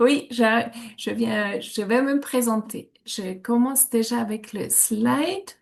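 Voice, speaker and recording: A woman in a Swiss German accent, fairly high in pitch, at a very slow pace. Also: ordinary pitch variation. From German-speaking Switzerland. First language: Swiss German (speaking French). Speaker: reflexologist. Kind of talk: online workshop presentation. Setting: video call. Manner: hesitant, many fillers.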